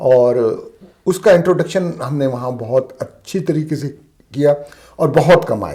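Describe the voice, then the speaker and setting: The voice is somewhat breathy with a dark, mellow tone and ordinary pitch variation. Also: man, fairly high pitch for a man. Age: old. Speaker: retired shop owner, importer. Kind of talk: interview answer.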